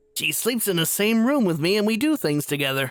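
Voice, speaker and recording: Using a put-on character voice, a man speaks high and fairly quickly with very wide pitch swings and very even loudness. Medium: audio drama.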